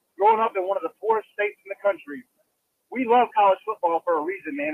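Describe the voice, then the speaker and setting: Lively intonation marks this man's high-pitched voice. He speaks very fast with an American accent. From South Carolina. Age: 30s. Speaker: caller. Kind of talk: voicemail call-in.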